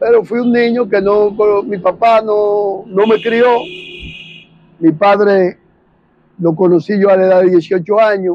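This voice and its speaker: A man with a high pitch speaks at a fairly slow pace in fairly even intonation, leaving long, frequent pauses. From Dominican Republic, Santo Domingo (Guachupita). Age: 60s. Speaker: witness to 1965 civil war. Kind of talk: interview testimony.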